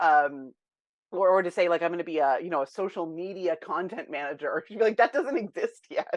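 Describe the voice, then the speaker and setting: A woman with a fairly low pitch speaks at a fairly quick pace with lively intonation in a plain, everyday voice. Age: 40s. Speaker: tech educator and entrepreneur. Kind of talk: interview conversation.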